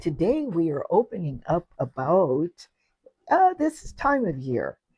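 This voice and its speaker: At a very slow pace, a woman speaks at a medium pitch in a dark, mellow tone with very wide pitch swings, the sound dry and close with no echo. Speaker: podcast co-host. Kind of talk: casual chat.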